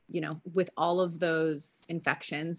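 Against a quiet background, a woman with a fairly low pitch talks at a moderate pace in a plain, everyday voice. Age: 30s. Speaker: wellness company founder. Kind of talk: casual interview.

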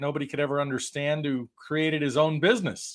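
On a very clean recording with a silent background, a man with a normal speaking voice talks fairly quickly at a fairly high pitch. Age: 50s. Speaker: franchise consultant and entrepreneur. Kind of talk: interview.

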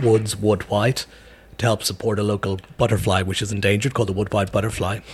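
Talking at a very fast pace, a man with a fairly low pitch sounds somewhat breathy, his intonation fairly even. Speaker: brewery owner. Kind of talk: casual interview. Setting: in a pub.

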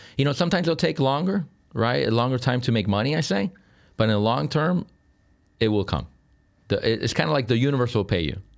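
A man at medium pitch with vocal fry, a very fast pace, very wide pitch swings, very even loudness and long, frequent pauses, on a very clean recording with a silent background. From Sicily, Italy. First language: Italian. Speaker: real estate broker. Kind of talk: interview.

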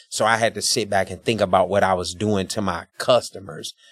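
A man's fairly low voice, flat and monotone, at a moderate pace, with a dry, close sound and no echo. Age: 40s. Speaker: business owner and barber. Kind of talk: casual interview.

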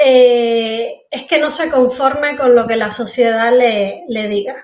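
A high-pitched woman with a Cuban accent, ordinary pitch variation and audible room echo. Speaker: entrepreneur, former engineer. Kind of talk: interview.

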